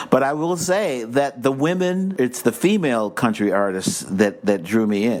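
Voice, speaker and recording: A man talks at a fairly slow pace with very wide pitch swings. Noticeable background noise is present. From US Midwest, Cleveland, Ohio. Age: 60s. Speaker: actor. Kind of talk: interview.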